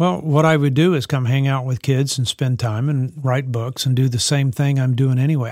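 Recorded dry and close with no echo, a man speaks in a Southern US accent at a fairly high pitch with ordinary pitch variation. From US South (Texas, Louisiana, New Orleans). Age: 60s. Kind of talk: interview conversation.

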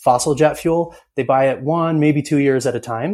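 An ordinary speaking voice from a man with an American accent, fairly high in pitch, with ordinary pitch variation at a fairly quick pace. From US Northeast, upstate New York (Ithaca). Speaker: clean tech company founder and CEO. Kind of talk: interview.

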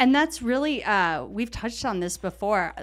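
In a very clean recording with a silent background, a woman speaks at a moderate pace with vocal fry and very wide pitch swings. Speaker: mortgage loan officer podcast host. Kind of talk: casual interview chat.

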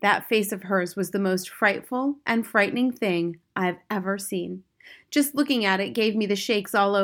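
Pitch varies in an ordinary way as someone reads aloud in a natural voice. Behind the voice, things are quiet.

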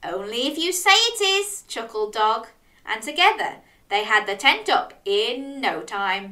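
Aloud, plain reading.

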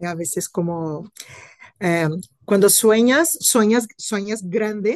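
A woman's medium-pitched voice at a very slow pace, with long, frequent pauses and lively intonation. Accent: Brazilian. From Brazil. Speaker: compliance officer. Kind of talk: interview.

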